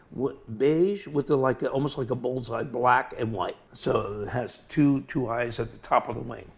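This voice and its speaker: A man talks in an ordinary speaking voice. He keeps a moderate pace with hardly any pauses. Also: medium pitch for a man, ordinary pitch variation. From New York (Long Island), moved to Florida as child. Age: 60s. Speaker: butterfly collector and craftsman. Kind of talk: casual interview.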